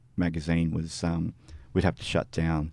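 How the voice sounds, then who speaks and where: Dark and mellow in tone, a man with a very deep, low voice speaks with an Australian accent. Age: 50s. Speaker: music magazine editor and reviewer. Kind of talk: interview. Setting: studio.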